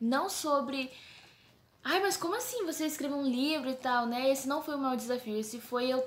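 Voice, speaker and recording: With a São Paulo accent, this woman has a high voice and ordinary pitch variation. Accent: paulista accent (São Paulo). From Brazil, São Paulo. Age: 20s. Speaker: theology student and book co-author. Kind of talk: casual talk to camera. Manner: informal, chatty.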